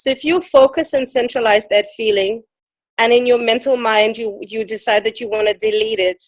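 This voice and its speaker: A woman speaks with a non-native accent. Her pitch is fairly high, with ordinary variation. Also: moderate pace. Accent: foreign. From Ukraine. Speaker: emotion code teacher. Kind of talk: interview.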